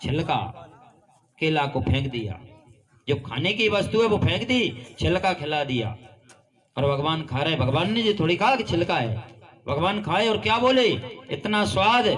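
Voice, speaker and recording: This man's voice is high-pitched and moves through very wide pitch swings. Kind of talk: devotional kathā narration of a Krishna story.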